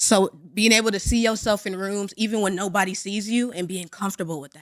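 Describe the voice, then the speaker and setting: The tone is animated, with ordinary pitch variation and a moderate pace. The recording is very clean, with a silent background. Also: woman. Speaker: comedian. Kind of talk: casual chat. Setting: studio. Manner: loud.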